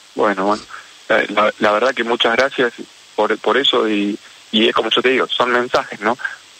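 Amid noticeable background noise, a man speaks at a medium pitch and moderate pace in a monotone, flat intonation, with very even loudness and long, frequent pauses. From Argentina, Rosario. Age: 40s. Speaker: orthopedic surgeon and popcorn vendor. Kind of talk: radio interview. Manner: halting, repeats words.

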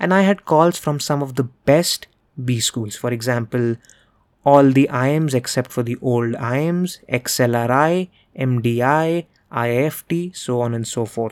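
A man speaks with an Indian accent and ordinary pitch variation. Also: medium pitch for a man, fairly slow pace. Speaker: podcast host and MBA career coach. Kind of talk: solo podcast monologue, motivational. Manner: fluent, earnest, instructive.

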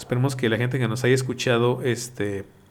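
Audible room echo surrounds a man speaking at a fairly slow pace and medium pitch with monotone, flat intonation. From Mexico. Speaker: podcast host. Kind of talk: casual chat.

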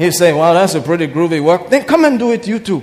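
In an animated tone, a high-pitched man talks at a moderate pace with very wide pitch swings. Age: 50s. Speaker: pastor. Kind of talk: sermon. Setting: church.

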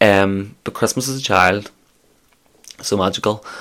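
A man with a Scottish accent and a fairly low pitch. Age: 20s. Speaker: podcast host. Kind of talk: casual solo monologue. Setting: office.

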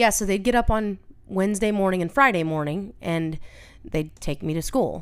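A woman talks in a normal speaking voice at a moderate pace. Her pitch is medium and her intonation lively. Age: 30s. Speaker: host's older sister, mother of a teenager. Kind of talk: casual chat.

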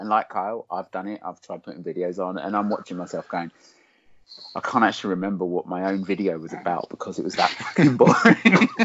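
A man with an Essex accent at a fairly quick pace. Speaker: podcast co-host. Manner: facetious, jokey.

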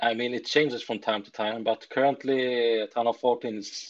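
An unremarkable speaking voice from a man, medium in pitch, at a moderate pace with fairly even intonation and big swings in loudness, in a dry, close sound with no echo and a quiet background. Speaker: gamer, esports team member. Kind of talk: casual interview chat. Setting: online call.

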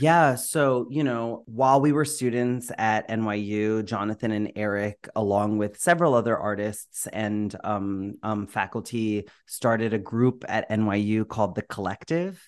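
Against a quiet background, a man with an ordinary speaking voice talks at a fairly slow pace with hardly any pauses. His pitch is fairly low, with ordinary pitch variation. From Florida. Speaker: theatre director. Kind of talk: casual interview chat. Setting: home microphone, remote recording.

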